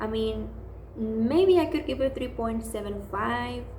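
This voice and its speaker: Noticeable background noise and an audible room echo surround the speaker. The voice carries a non-native accent and moves at a moderate pace. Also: woman. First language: not English. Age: 20s. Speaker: book vlogger. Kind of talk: casual book review monologue. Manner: hesitant, many fillers.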